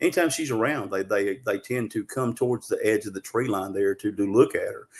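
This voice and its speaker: The speaker is a man with a Southern US accent. He talks at a fairly quick pace. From Arkansas. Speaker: Bigfoot researcher. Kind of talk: interview storytelling. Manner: fast; animated.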